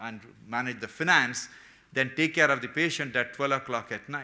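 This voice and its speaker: Speaking at a fairly quick pace, a man with a medium pitch keeps his intonation fairly even in a bright, sharp tone. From India. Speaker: heart surgeon and hospital founder. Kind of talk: keynote speech.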